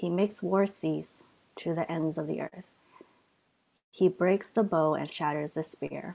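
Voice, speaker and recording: This woman has an ordinary speaking voice with a fairly low pitch. She talks at a fairly slow pace. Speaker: scripture reader. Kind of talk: reading aloud.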